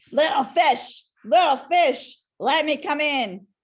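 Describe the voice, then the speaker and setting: A woman bellows in a put-on character voice at a high pitch. She takes a fairly slow pace. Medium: read story. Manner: roaring.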